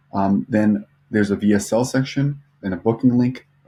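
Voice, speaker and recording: Mumbling in a dark, mellow tone, a man speaks at a medium pitch. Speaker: social media marketing agency owner, vlogger. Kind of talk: casual vlog and screen-share tutorial. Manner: mumbling, lots of fillers; unscripted, off the cuff.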